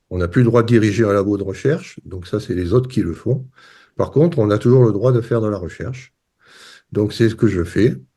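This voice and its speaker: A fairly quick, somewhat breathy man with a fairly low pitch, dark, mellow tone and ordinary pitch variation against a quiet background. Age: 60s. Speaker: retired professor, water scientist. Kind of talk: interview.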